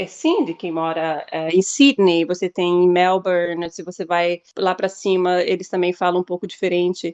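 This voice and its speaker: This woman with an Australian accent talks at a moderate pace with hardly any pauses, her fairly low pitch held in fairly even intonation. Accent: Australian accent when speaking English. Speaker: English teacher. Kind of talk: podcast interview. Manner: halting, many repetitions.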